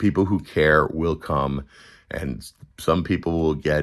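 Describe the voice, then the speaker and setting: A man with an American accent speaks slowly at a fairly slow pace, his very deep, low pitch carrying vocal fry and ordinary pitch variation. The recording is very clean, with a silent background. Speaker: political commentary livestreamer. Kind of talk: casual livestream chat.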